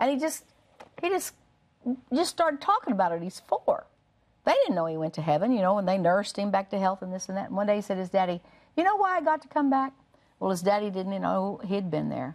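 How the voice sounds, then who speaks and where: A woman speaks at a very fast pace. Her pitch swings very wide. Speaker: TV guest. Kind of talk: conversational storytelling on talk show. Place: studio. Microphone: lapel.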